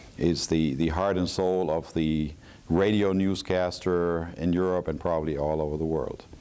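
A man speaks with a very deep, low pitch and a dark, mellow tone. His pace is moderate and his pitch varies in an ordinary way. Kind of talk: interview answer. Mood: calm, proud storytelling. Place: hall. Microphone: lapel.

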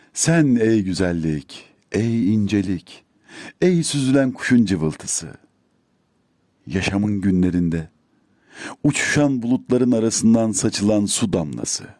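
At a very slow pace, a dark, mellow tone carries lively intonation while the loudness stays very even. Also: man, fairly low pitch for a man. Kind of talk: poetry reading.

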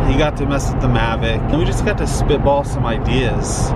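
A man speaks at a fairly quick pace over loud background noise. The sound is dry, with no echo. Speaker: family vlogger. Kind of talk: casual vlog chat. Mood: upbeat, laughing. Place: car. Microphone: phone near.

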